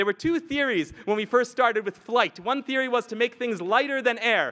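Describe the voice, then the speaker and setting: A man talks at a very fast pace in a raised, projected voice with an extremely high pitch. His tone is bright and sharp, and the sound is dry and close, with no echo. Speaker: rabbi, lecturer. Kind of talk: lecture. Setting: stage with audience at a retreat.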